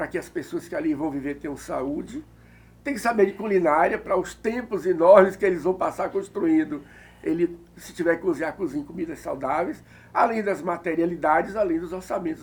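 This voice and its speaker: Talking at a fairly quick pace, a man uses a high pitch with lively intonation. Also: big swings in loudness. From Bahia, Brazil (Recôncavo). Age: 60s. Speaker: architect and art director. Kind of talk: interview.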